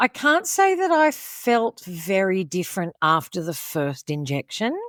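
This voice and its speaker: Speaking with an Australian accent, a woman uses a medium pitch at a fairly slow pace, in a dry, close sound with no echo and a very clean recording with a silent background. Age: 70s. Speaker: podcast guest. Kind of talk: interview. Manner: animated.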